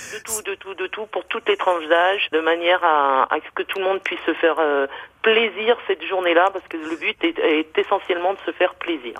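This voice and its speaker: At a fairly quick pace, a woman talks with ordinary pitch variation and big swings in loudness. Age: 50s. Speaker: florist. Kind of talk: radio interview. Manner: hesitant, many fillers.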